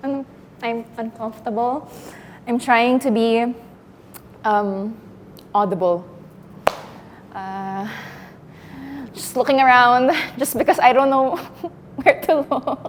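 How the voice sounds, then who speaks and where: Over noticeable background noise, a high-pitched woman speaks with lively intonation and long, frequent pauses. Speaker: acting student. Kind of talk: acting exercise, spoken awareness. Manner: halting; pitch rising.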